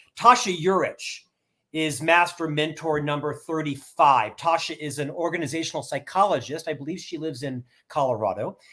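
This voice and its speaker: Loudness swings widely as a man talks at a moderate pace. His fairly high voice has a bright, sharp tone and ordinary pitch variation. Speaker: author and keynote speaker. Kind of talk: interview. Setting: video call.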